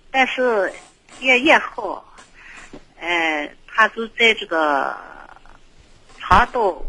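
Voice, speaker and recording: Against noticeable background noise, a woman speaks at a very slow pace with long, frequent pauses and big swings in loudness. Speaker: radio call-in listener. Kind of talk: casual chat.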